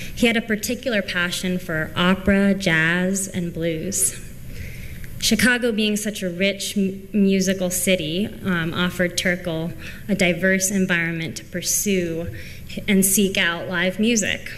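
Light background noise sits behind a woman's voice. She talks at a fairly slow pace with fairly even intonation. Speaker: library technician. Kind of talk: conference presentation. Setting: stage with audience. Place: hall.

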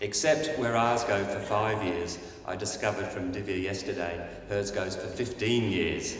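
A man's fairly low voice with fairly even intonation, light background noise and audible room echo. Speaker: conference host introducing keynote speaker. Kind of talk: speaker introduction. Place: hall. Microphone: podium.

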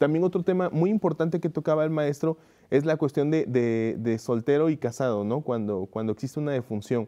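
With a quiet background, a man talks at a fairly quick pace in a fairly high voice that has a dark, mellow tone and ordinary pitch variation. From Córdoba, Veracruz, Mexico; Veracruz, Mexico. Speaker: guest. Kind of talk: interview. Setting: studio. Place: studio.

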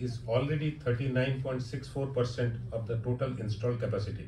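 Against noticeable background noise, a man speaks with fairly even intonation. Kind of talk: formal speech. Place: hall.

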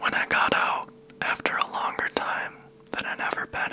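A soft-spoken man whispers at a very slow pace. Light background noise sits behind him. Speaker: ASMR storyteller. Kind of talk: soft-spoken personal storytelling. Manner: soft close-mic ASMR whisper. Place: home room. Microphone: handheld.

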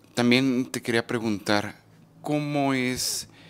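Very slowly, a man speaks with fairly even intonation. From Mexico. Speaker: YouTube documentary interviewer. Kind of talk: street interview; scripted narration. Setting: outdoors. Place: home room. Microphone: handheld.

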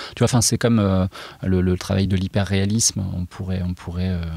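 With a very deep, low pitch and a dark, mellow, somewhat breathy tone, a man speaks at a fairly quick pace with fairly even intonation, in a dry, close sound with no echo. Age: 40s. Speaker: illustrator. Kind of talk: interview. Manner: halting.

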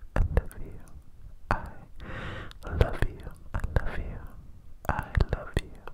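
The speaker whispers at a fairly slow pace. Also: man. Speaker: ASMR creator. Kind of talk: ASMR whisper roleplay. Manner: cupped close-mic whisper, repeating phrase. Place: home room. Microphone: handheld.

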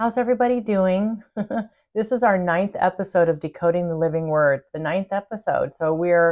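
A woman talks at a moderate pace, her pitch varying in an ordinary way, and the background stays quiet. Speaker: spiritual channel host. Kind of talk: casual vlog chat. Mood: warm, upbeat. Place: home room. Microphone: phone near.

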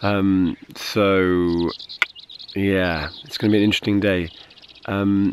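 A man talking at a very slow pace with long, frequent pauses and noticeable background noise. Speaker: long-distance touring cyclist. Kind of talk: casual video message to camera.

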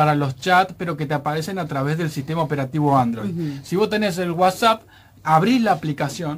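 A man is speaking, his pitch high. The variation in his pitch is ordinary. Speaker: radio technology advice columnist. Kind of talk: radio talk segment, explaining tech tips. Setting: radio studio. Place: studio. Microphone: studio mic.

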